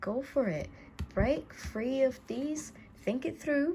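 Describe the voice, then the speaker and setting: A woman with a dark, mellow tone talks in a somewhat breathy voice, her intonation lively. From Italy. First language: Italian. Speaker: tarot reader. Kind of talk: tarot reading. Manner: halting.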